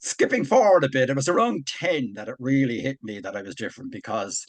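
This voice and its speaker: Ordinary pitch variation and a fairly quick pace mark this voice with an Irish accent. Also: man. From Ireland. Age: 60s. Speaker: army veteran and author. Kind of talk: personal testimony in interview.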